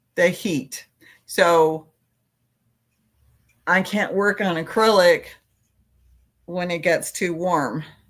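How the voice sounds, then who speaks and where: The pace is very slow, with long, frequent pauses. Pitch variation is ordinary. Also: woman, fairly low pitch for a woman, very clean recording, silent background. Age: old. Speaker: crochet YouTuber. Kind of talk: casual chat. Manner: halting.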